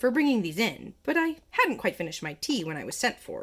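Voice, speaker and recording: The speaker uses a put-on character voice that sounds shaky. Pitch swings very widely at a fairly quick pace. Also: woman, fairly high pitch for a woman. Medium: read story. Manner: trembling, rambling.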